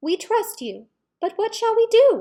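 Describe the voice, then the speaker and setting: A woman's put-on character voice, squeaky and extremely high-pitched, with a timid tone at a moderate pace. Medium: read story.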